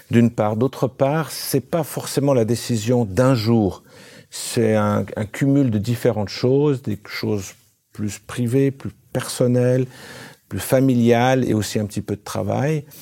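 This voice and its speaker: The voice has a dark, mellow tone and fairly even intonation, and it moves at a very slow pace. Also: man, medium pitch for a man. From grew up partly in Africa. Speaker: former company executive. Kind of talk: interview. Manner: halting.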